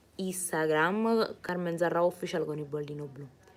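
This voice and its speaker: An animated woman at a fairly low pitch and moderate pace, with noticeable background noise. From Naples, Italy. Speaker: singer. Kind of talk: live stream chat reading comments. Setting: live streaming from home. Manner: chatty, animated.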